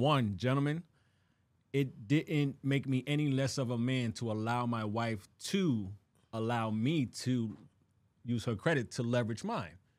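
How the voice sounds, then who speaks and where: A plain, everyday voice at a moderate pace, with ordinary pitch variation and a quiet background. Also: man, medium pitch for a man. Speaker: podcast co-host. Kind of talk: casual chat. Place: studio. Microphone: studio mic.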